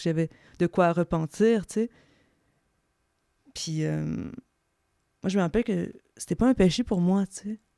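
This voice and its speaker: Dry and close with no echo, on a very clean recording with a silent background, a woman speaks in a dark, mellow tone at a fairly low pitch. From eastern Ontario, Franco-Ontarian (Bourget village). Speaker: podcast guest. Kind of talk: interview. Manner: halting, many fillers and repetitions.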